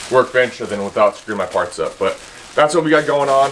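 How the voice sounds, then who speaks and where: Against noticeable background noise, a man speaks very fast at a fairly high pitch. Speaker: automotive and DIY YouTuber. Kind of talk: casual vlog tool talk. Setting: home workshop. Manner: casual, filler-heavy.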